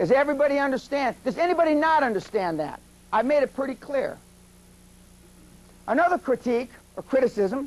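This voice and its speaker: A man with an American accent, extremely high-pitched, lively intonation, long and frequent pauses. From US West, East Los Angeles. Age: 40s. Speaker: business seminar speaker. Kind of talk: seminar lecture. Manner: fast.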